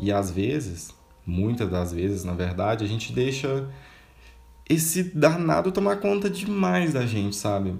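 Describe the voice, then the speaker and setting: Audible room echo surrounds a man's somewhat breathy voice, medium in pitch, with very wide pitch swings. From Minas Gerais interior, Brazil. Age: 20s. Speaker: podcaster. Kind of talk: personal monologue. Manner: casual, conversational.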